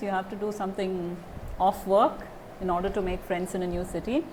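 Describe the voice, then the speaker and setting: With noticeable background noise, a woman talks at a fairly quick pace and medium pitch. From India. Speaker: German teacher. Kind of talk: interview answer.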